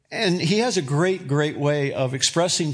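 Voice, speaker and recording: With an ordinary speaking voice, a man talks at a moderate pace, his fairly high pitch showing ordinary variation. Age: 60s. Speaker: pastor. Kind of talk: sermon. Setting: church.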